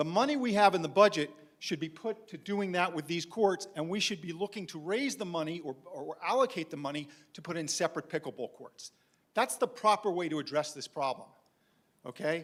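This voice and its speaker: A man talks at a high pitch and a fairly quick pace with a New York accent. His intonation is lively, and his loudness swings widely. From New York City (Manhattan). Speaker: community resident speaking at board meeting. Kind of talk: public comment at meeting. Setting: board meeting room. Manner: animated, insistent.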